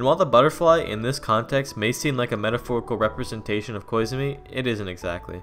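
Over noticeable background noise, a man at a medium pitch races along at a very fast pace with lively intonation and hardly any pauses. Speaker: anime video essayist. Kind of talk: video essay narration.

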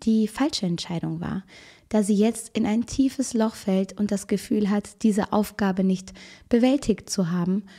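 A woman's fairly high, somewhat breathy voice with a dark, mellow tone and ordinary pitch variation. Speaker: true crime video host. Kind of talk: casual true crime storytelling to camera. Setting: video recording at home with camera. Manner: chatty, informal.

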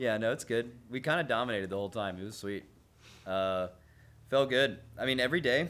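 Lively intonation carries through as a man rushes along very fast. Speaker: raid guild leader/player. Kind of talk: casual interview. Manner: casual, joking, laughing.

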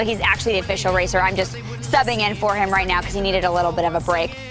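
A woman talks at a very fast pace. Clear music plays in the background, and the sound is dry with no echo. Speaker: television feature reporter. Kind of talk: TV news field report, upbeat on-camera reporting. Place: street. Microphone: lapel.

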